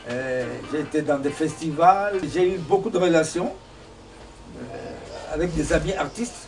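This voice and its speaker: A man speaks very slowly at a fairly high pitch, with long, frequent pauses, ordinary pitch variation and big swings in loudness. Room echo is audible, as is noticeable background noise. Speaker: singer-songwriter. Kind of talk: interview. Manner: halting.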